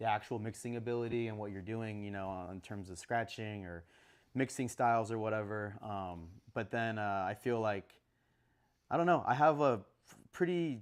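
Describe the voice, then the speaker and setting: Speaking at a moderate pace, a man with an unremarkable speaking voice holds a fairly low pitch with ordinary variation. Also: big swings in loudness, very clean recording, silent background. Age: 20s. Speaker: DJ and music producer. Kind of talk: casual interview chat. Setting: live stream show.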